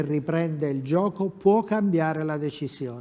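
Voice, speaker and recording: A man's fairly high voice of dark, mellow tone, ordinary pitch variation, quiet background. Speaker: football pundit. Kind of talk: sports talk show discussion. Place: studio. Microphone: lapel.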